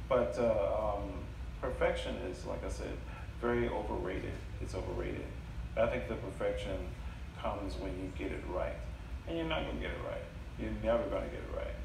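The man talks at a fairly quick pace but with long, frequent pauses. There is noticeable background noise and audible room echo. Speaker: storyteller. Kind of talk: live storytelling / stand-up style comedy set with audience. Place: stage. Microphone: camera far.

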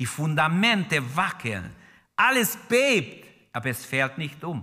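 Against a quiet background, a man with a bright, sharp tone and vocal fry speaks passionately at a fairly slow pace, his pitch swinging very widely. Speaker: preacher. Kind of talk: sermon in church, fervent preaching with prayer and exhortation to the congregation. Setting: church with congregation. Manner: passionate, emphatic, urgent; exhorting the congregation directly, repeating key phrases. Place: church. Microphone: podium.

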